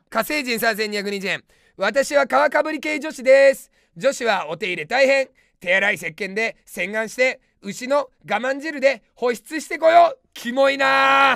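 A man's extremely high-pitched, bright, sharp voice at a fairly slow pace, with lively intonation, big swings in loudness, a dry sound with no echo and a quiet background. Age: 30s. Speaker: comedian. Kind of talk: live-stream comment rants. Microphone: webcam.

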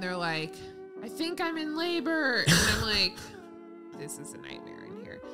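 At a moderate pace, a woman speaks with big swings in loudness while clear music plays in the background. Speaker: pregnant vlogger, podcast co-host. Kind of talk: casual podcast storytelling. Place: home room. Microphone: studio mic.

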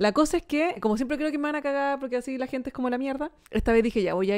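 A woman speaks at a very fast pace in a Chilean accent. Her pitch is high, and the background is quiet. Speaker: comedy podcast co-host. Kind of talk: casual chat. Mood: amused storytelling. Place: studio. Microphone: studio mic.

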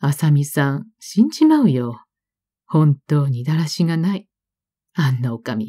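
A woman's very deep, low voice at a fairly slow pace, somewhat breathy, with a calm, gentle, dark and mellow tone and lively intonation. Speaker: audiobook narrator. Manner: calm, slow, wistful and melancholic, with gentle restrained emotion.

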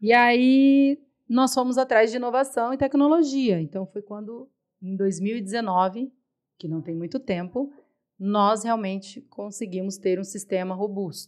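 A woman at a fairly high pitch and fairly slow pace, with ordinary pitch variation, big swings in loudness and a quiet background. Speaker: supermarket owner; podcast guest. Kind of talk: interview. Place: studio. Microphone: studio mic.

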